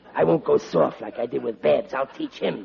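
A man puts on a character voice and speaks at a moderate pace. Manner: gruff, stern.

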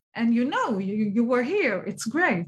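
A woman speaks with an Israeli accent. Her voice is somewhat breathy. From Israel, Tel Aviv and Ashdod. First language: Hebrew. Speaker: children's book publisher and author. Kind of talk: interview.

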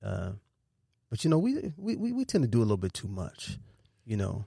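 Fairly low-pitched, somewhat breathy male voice with a dark, mellow tone, lively intonation and a fairly quick pace, on a very clean recording with a silent background. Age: 50s. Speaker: talent manager. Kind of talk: casual chat.

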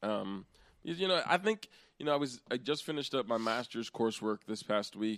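At a fairly slow pace, a man with an American accent talks at a medium pitch in an ordinary speaking voice. The recording is very clean, with a silent background. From Central Pennsylvania. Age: 20s. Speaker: podcast host and teacher. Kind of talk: casual chat.

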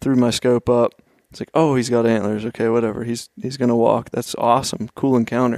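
With a slight Pennsylvania accent, a man talks at a fairly quick pace in a medium pitch. His intonation is monotone and flat, and the sound is dry and close with no echo. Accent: slight regional Pennsylvania. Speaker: hunter, apparel business owner. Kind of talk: casual chat.

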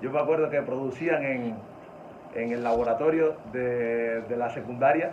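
Over noticeable background noise and audible room echo, a man speaks at medium pitch. His pace is fairly slow and his intonation fairly even. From Cuba. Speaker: music producer. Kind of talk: casual interview.

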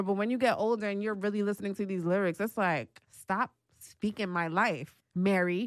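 This woman has a normal speaking voice at a medium pitch and talks at a moderate pace. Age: 20s. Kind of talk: casual chat.

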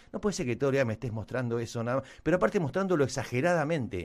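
On a very clean recording with a silent background, a man speaks with a bright, sharp tone and very wide pitch swings. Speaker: podcast co-host. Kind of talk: casual chat. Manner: halting.

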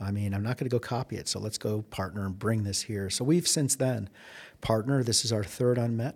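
A man with an American accent and a normal speaking voice talks at a fairly quick pace and medium pitch. His pitch varies in an ordinary way on a very clean recording with a silent background. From Chicago, US Midwest. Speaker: economic development executive. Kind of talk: interview. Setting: in-person recording at a conference.

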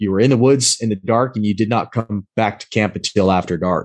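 A man's fairly low voice, a normal speaking voice, moves at a moderate pace with ordinary pitch variation. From US Pacific Northwest. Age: 40s. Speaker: navy veteran, amputee and outdoor blogger. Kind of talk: casual chat.

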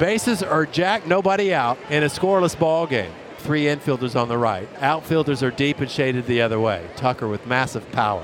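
Music plays in the background as a man speaks in a fairly high voice with very wide pitch swings. He goes at a fairly quick pace with hardly any pauses. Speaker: radio broadcaster, play-by-play and interviewer. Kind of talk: live sports commentary, excited call. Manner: animated, rapid-fire, urgent play calling.

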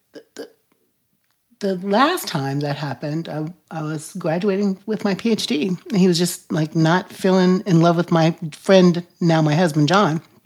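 The speaker has an ordinary speaking voice and an American accent, at a moderate pace. Pitch varies normally, while loudness swings widely. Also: woman, fairly low pitch for a woman. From United States, military family. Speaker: podcast host. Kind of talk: casual interview chat; show introduction.

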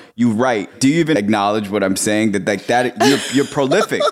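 Here is a man with an unremarkable speaking voice at a medium pitch. He moves at a fairly quick pace with ordinary pitch variation. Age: 30s. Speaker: podcast host. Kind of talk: casual chat.

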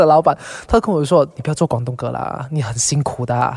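A man talks at a fairly quick pace, with noticeable background noise present. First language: Cantonese (speaking Chinese). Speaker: singer. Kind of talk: casual chat.

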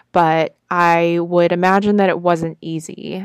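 Dry and close with no echo, a woman with a Californian accent speaks at a fairly low pitch in a monotone, flat intonation. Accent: Californian American. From Southern California. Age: 20s. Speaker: podcast host. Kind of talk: personal storytelling monologue.

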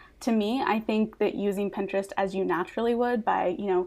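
A woman's medium-pitched, ordinary speaking voice at a fairly quick pace with ordinary pitch variation. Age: 20s. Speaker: Pinterest marketing consultant. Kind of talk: podcast interview.

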